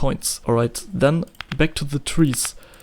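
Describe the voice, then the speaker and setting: A man with a German accent talks at a moderate pace. His fairly high voice stays monotone and flat. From Germany. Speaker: indie game developer. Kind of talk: tutorial. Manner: halting.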